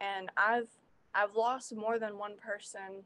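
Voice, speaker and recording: A woman talks with a bright, sharp tone. Her intonation stays monotone and flat. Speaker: musician. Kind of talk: interview. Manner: halting.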